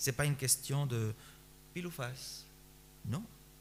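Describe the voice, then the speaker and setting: A man with a medium pitch and a somewhat breathy voice speaks at a fairly slow pace with lively intonation. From Spain. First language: Spanish (speaking French). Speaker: pastor. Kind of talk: sermon.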